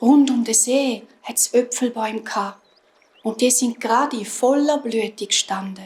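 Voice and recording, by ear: At a fairly slow pace, a woman speaks in a fairly high voice with a slightly mellow tone, a slightly husky edge and ordinary pitch variation.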